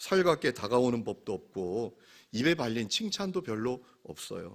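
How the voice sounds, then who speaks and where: In a very clean recording with a silent background, a man of medium pitch speaks fairly slowly, his pitch swinging very widely. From Gangwon Province, South Korea. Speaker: pastor. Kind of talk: sermon. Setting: church service with congregation.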